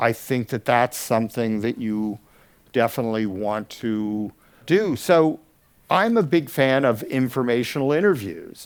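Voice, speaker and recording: With an American accent and an unremarkable speaking voice, a man of medium pitch talks at a fairly slow pace with lively intonation on a very clean recording over a silent background. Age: 60s. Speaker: audio educator. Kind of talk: conference talk. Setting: stage with audience.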